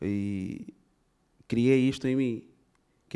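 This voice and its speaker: A man's dark, mellow voice with an Angolan accent, over a quiet background. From Angola, Benguela. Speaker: rapper and actor; actor. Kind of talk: interview. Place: stage. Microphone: handheld.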